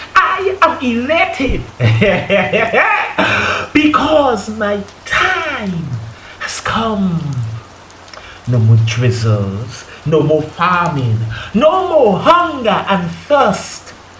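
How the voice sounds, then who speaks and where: A man speaking at a very slow pace, with long, frequent pauses and noticeable background noise. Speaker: spoken word poet. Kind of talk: spoken word poetry performance.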